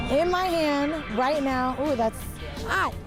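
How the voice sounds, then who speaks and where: Music plays in the background as a woman speaks at a very slow pace. Her high-pitched voice has an upbeat tone. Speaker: TV reporter and host. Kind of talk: casual on-location TV hosting. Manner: upbeat, lively.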